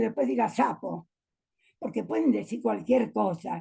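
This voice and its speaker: A woman speaks at a medium pitch with a dark, mellow tone and vocal fry. Her pitch swings very wide. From Argentina, San Juan. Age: 80s+. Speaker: teacher and educator. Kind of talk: interview conversation.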